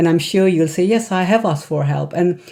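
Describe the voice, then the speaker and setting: An Indian accent with ordinary pitch variation. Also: woman. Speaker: psychiatrist and wellness coach. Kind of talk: casual talk to camera. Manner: halting, many fillers.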